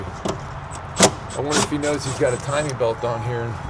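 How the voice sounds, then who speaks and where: A man talks at a moderate pace, with music in the background and audible room echo. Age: 60s. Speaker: auto mechanic. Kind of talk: casual chat while working on a truck. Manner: halting, many fillers and restarts; animated.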